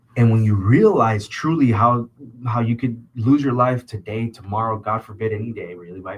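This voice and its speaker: With an American accent, a man of medium pitch sounds animated and somewhat breathy, speaking at a moderate pace. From Southern California (Orange County). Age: 20s. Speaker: podcast host. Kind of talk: casual chat.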